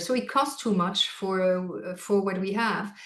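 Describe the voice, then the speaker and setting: A woman with a French accent talks slowly-ish, at a fairly slow pace and a medium pitch. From France, Alsace. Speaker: healthcare executive. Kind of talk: interview conversation.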